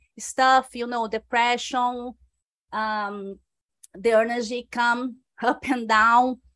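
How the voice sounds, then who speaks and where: A woman's high, bright and sharp voice, flat and monotone, at a very slow pace over a very clean recording with a silent background. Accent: strong Brazilian. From Brazil, Rio de Janeiro. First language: Portuguese. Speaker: computer programmer and Reiki practitioner. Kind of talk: podcast interview. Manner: halting, with false starts.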